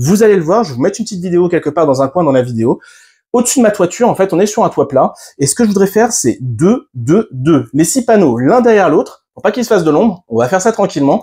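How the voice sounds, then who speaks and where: A dark, mellow voice races along at a very fast pace with very wide pitch swings, captured in a very clean recording over a silent background. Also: man, high pitch for a man. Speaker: YouTuber reviewing solar equipment. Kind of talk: product unboxing tutorial. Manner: hesitant fillers.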